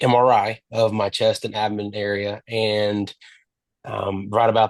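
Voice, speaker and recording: In a Texan accent, a man speaks with monotone, flat intonation at a fairly low pitch, in dry, close sound with no echo against a quiet background. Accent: Texan American. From Texas. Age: 20s. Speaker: cancer survivor. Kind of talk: interview testimony. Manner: halting.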